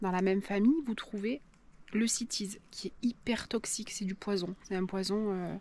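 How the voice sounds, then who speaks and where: At a moderate pace, this soft-spoken voice carries on. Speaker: nature and cooking vlogger. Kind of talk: casual vlog narration. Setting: outdoors in a valley. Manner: hesitant, many fillers.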